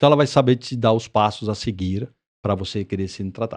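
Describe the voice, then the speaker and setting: Over a quiet background, a man talks at a very fast pace in a medium pitch with a slight non-native accent. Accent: slight foreign accent in Portuguese. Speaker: entrepreneur, mental health clinic CEO. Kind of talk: podcast interview.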